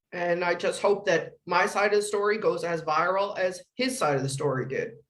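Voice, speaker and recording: A woman speaks at a medium pitch and a moderate pace, with ordinary pitch variation, very even loudness and audible room echo. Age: 60s. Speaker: school office manager. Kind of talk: press conference answers. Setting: press conference.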